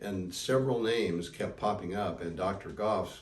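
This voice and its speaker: A man speaks in a very deep, low pitch, somewhat breathy. Audible room echo surrounds him. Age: 70s. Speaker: knee surgery patient. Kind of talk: interview testimony. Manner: conversational with fillers.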